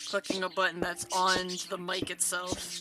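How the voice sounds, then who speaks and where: Noticeable background noise fills the recording. Through it, a woman's voice holds a medium pitch. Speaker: VTuber gaming streamer. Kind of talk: live gaming stream chat. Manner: animated.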